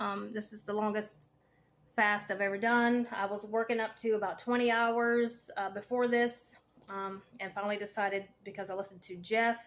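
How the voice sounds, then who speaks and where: A woman speaks in a fairly high voice with a Southern US accent. Her intonation stays flat and monotone. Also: moderate pace. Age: 40s. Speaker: cancer patient vlogger, veteran, fitness coach. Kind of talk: casual vlog monologue. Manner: hesitant, many fillers.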